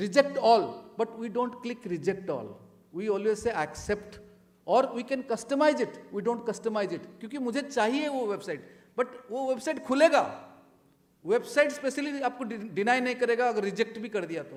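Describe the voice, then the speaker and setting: Music plays in the background as a man speaks at a moderate pace. His pitch is extremely high, with ordinary variation. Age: 60s. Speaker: retired air force officer, panelist. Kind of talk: panel talk.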